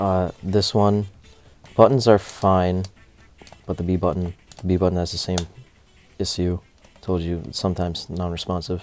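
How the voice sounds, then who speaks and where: A man's very deep, low voice in a monotone, flat intonation, with long, frequent pauses and music in the background. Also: moderate pace. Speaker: gaming hardware reviewer. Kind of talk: product review talk to camera.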